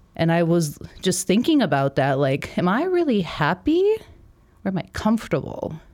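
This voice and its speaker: A woman has a plain, everyday voice with lively intonation. Her loudness is very even, and her pace is moderate. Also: fairly low pitch for a woman. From Milwaukee, Wisconsin. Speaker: army veteran and marketer. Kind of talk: casual interview chat.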